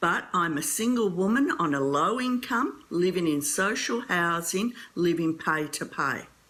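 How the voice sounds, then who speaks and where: With an Australian accent, a woman of medium pitch speaks at a fairly slow pace, her tone bright and sharp and her intonation lively. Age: 60s. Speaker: early childhood educator asking a question. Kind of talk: audience question.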